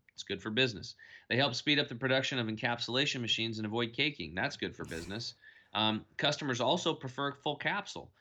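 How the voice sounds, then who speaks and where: A bright, sharp tone and an American accent come through at a very fast pace. The background is quiet. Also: man. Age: 40s. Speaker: health and nutrition coach. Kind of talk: podcast interview.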